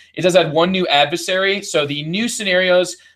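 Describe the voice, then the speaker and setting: A man with a Midwestern accent talks at a fairly quick pace with fairly even intonation. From US Midwest. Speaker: board game podcast host. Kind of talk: game review.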